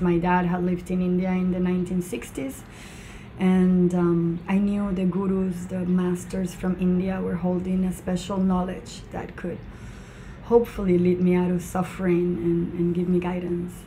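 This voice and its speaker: Audible room echo surrounds a woman with a Spanish accent whose medium-pitched, monotone, flat delivery moves at a moderate pace. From Venezuela, Mérida (Andes). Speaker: charity founder. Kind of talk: interview.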